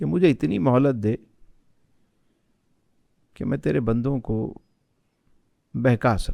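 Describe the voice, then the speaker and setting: Recorded dry and close with no echo, a man of medium pitch has a dark, mellow tone and very wide pitch swings. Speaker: Islamic scholar. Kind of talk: podcast interview answer.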